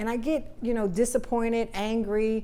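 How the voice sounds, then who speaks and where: Audible room echo carries a woman's fairly high voice with an American accent at a fairly slow pace. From Trenton, New Jersey. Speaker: politician. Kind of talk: casual interview.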